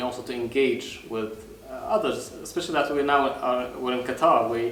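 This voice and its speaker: A man talks at a moderate pace with a medium pitch and fairly even intonation, over noticeable background noise and audible room echo. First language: not English. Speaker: public speaking club leader. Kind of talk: casual chat. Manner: halting.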